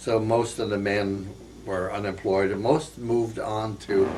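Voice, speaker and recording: A man with an American accent and a fairly low pitch, at a very slow pace with ordinary pitch variation, amid audible room echo and noticeable background noise. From northeast Pennsylvania. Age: 80s+. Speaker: war veteran. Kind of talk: oral history interview. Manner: halting, many fillers.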